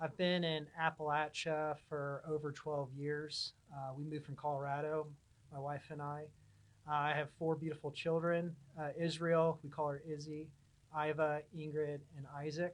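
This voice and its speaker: A man with a Californian accent speaks at a moderate pace. His pitch is fairly high, and his intonation is monotone and flat. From Southern California, Huntington Beach. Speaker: pipeline engineering manager. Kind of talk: podcast interview. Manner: casual, with many fillers.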